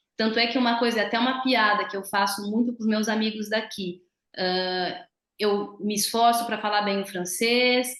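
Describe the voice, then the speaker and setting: This woman has an ordinary speaking voice, fairly high in pitch, with a moderate pace and fairly even intonation. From Brazil. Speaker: physiotherapist. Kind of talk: interview.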